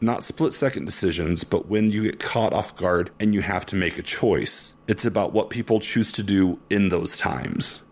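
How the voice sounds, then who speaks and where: This man has an unremarkable speaking voice with a fairly low pitch. He uses ordinary pitch variation and hardly any pauses. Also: moderate pace. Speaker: podcast host. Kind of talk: casual chat.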